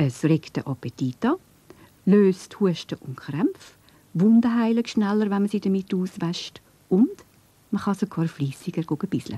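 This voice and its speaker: With a Swiss accent, a woman speaks in a dark, mellow, somewhat breathy tone with lively intonation, at a fairly slow pace with long, frequent pauses, in a dry, close sound with no echo. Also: medium pitch for a woman. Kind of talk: children's cartoon narration. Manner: friendly, explanatory.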